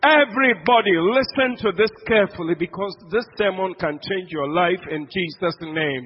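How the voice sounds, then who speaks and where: The speaker has a Ghanaian accent, an animated tone and lively intonation. The pace is moderate, with hardly any pauses. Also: man, high pitch for a man. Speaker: preacher. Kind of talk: sermon. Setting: church.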